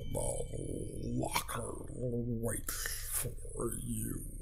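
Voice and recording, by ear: A man's croaky, put-on character voice against clear background noise.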